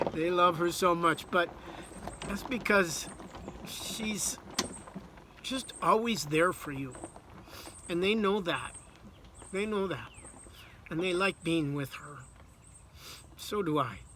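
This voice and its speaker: A man talks at a very slow pace, with long, frequent pauses and noticeable background noise. His pitch is high, with ordinary variation. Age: 60s. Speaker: author. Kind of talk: personal video message.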